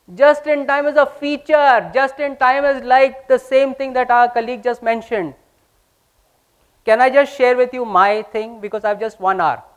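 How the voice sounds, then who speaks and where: Pitched extremely high, a man speaks in an animated tone at a moderate pace with ordinary pitch variation. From India. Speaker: business speaker. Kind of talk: lecture.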